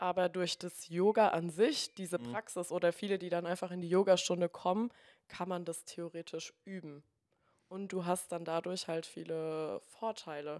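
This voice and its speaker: A woman talks at a moderate pace in a plain, everyday voice, her intonation fairly even but her loudness swinging widely. The recording is very clean, with a silent background and a dry, close sound with no echo. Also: fairly low pitch for a woman. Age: 20s. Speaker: yoga teacher and physiotherapist. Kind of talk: casual interview.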